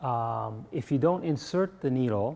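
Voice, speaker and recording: A man with a dark, mellow tone talks at a fairly slow pace. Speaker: acupuncture teacher. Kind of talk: workshop lecture. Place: classroom.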